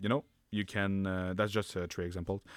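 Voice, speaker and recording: Captured in a very clean recording against a silent background, a man with a very deep, low pitch speaks at a moderate pace in a monotone, flat intonation. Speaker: history book reviewer. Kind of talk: book review talk to camera. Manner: casual, hesitant with fillers.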